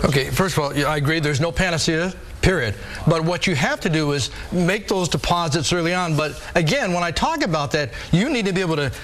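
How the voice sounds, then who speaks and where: Over noticeable background noise, a man with a high pitch talks very fast. His pitch variation is ordinary. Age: 50s. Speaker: fitness trainer and author. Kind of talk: TV interview. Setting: TV studio. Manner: animated.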